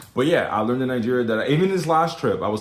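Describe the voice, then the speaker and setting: In an American accent, a man of medium pitch talks at a very fast pace, with audible room echo. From USA. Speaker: social media commentator. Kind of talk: casual vlog monologue.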